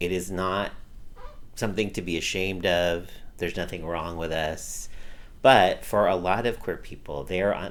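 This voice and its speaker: A man with an American accent speaks in a fairly even intonation, leaving long, frequent pauses, with audible room echo around him. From US West Coast, Los Angeles County. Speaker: activist. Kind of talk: interview.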